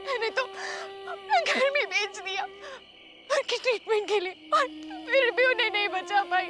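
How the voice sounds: A woman puts on a character voice with an extremely high pitch and a bright, sharp tone. She talks fairly slowly with lively intonation over faint background music.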